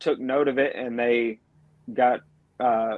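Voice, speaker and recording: A man with a Georgia accent talks at a medium pitch. His intonation is monotone and flat. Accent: Southern American, Georgia. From Georgia, American South. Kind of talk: casual, conversational.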